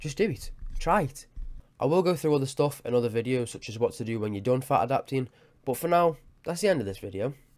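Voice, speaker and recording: A man speaks at a very fast pace. His medium-pitched voice has lively intonation. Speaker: fitness YouTuber. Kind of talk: tutorial; casual chat. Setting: home webcam recording. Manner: halting, scripted-sounding.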